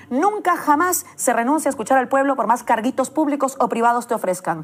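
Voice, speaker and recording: Against noticeable background noise, a woman speaks at a fairly quick pace with a high pitch, lively intonation and very even loudness. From Peru. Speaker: political journalist. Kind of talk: political editorial. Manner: impassioned.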